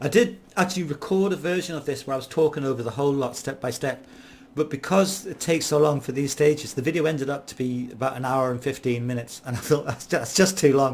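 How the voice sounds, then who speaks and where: A man's very fast, somewhat breathy voice at a fairly high pitch. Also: ordinary pitch variation. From Ireland. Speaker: gaming YouTuber. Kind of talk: gameplay commentary. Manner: casual, hesitant with fillers.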